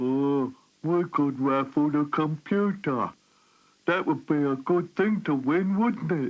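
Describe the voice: A cartoonish character voice at a middle pitch speaks at a fairly slow pace. The background is quiet.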